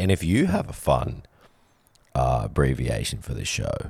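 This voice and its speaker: Very deep, low pitch from a man, plus vocal fry and lively intonation, in a very clean recording with a silent background. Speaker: podcast host. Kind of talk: casual banter podcast.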